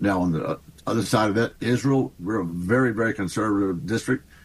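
Speaking at a fairly quick pace, a man with a fairly low pitch uses lively intonation. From Texas. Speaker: congressman. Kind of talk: radio interview.

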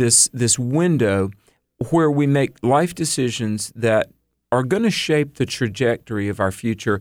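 In a very clean recording with a silent background, a man with an unremarkable speaking voice talks at a medium pitch and a fairly slow pace, with lively intonation and very even loudness. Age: 50s. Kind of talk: radio interview.

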